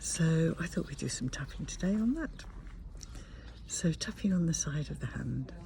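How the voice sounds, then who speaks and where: A woman speaks quietly, leaving long, frequent pauses. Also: moderate pace. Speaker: tapping practitioner. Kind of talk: guided tapping session. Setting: outdoors at a campsite.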